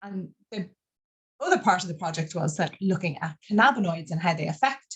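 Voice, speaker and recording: A woman with an Irish accent talks at a very fast pace in a somewhat breathy voice. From Ireland. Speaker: cannabinoid scientist, professor. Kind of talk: webinar interview. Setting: online webinar.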